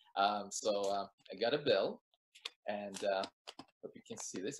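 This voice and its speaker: A man speaks over noticeable background noise. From Soviet Union. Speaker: magician; guest. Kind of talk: magic performance patter; casual chat. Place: home room. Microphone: webcam.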